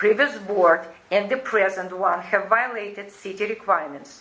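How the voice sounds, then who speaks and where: Over noticeable background noise, a woman with a non-native accent speaks at a fairly slow pace. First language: not English. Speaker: resident at homeowners association meeting. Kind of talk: reading a prepared statement. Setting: community board meeting. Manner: halting.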